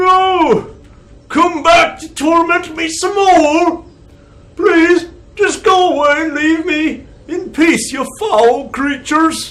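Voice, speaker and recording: A man puts on a character voice pitched extremely high. He drags it out at a very slow pace. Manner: angry, anguished, shouting.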